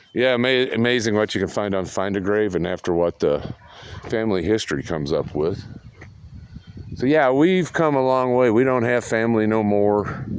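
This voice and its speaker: A man talks at a moderate pace with lively intonation and very even loudness. Noticeable background noise runs underneath. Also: medium pitch for a man. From US Midwest, Raytown, Missouri (Jackson County). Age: 60s. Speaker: vlogger. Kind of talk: casual monologue.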